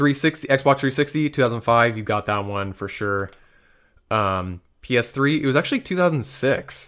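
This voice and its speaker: Lively intonation and a moderate pace from a man in a normal speaking voice at a medium pitch. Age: 20s. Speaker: video game podcast co-host. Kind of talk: casual chat.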